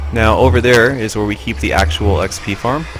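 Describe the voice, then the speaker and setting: There is noticeable background noise behind this man's fairly low-pitched voice. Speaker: Minecraft builder and let's play narrator. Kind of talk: casual Minecraft tour narration.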